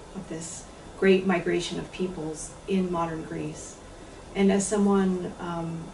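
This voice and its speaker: Over noticeable background noise and audible room echo, a woman with a fairly low pitch speaks at a fairly slow pace in a flat, monotone intonation. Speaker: translator. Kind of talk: lecture.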